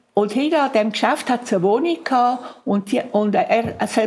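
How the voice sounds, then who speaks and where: A fairly high-pitched woman's voice at a fairly quick pace, with noticeable background noise. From Zurich, Switzerland. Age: 80s+. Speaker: contemporary witness. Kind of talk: oral history interview.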